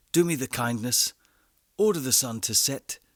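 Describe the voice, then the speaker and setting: A man talks at a fairly quick pace with an ordinary speaking voice and ordinary pitch variation. The sound is dry and close, with no echo. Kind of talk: audiobook story reading.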